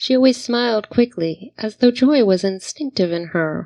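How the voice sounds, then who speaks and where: Here is a woman with an unremarkable speaking voice and an American accent. She talks at a fairly slow pace with ordinary pitch variation. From New Jersey and Virginia (American). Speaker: poet. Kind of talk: spoken word poetry reading.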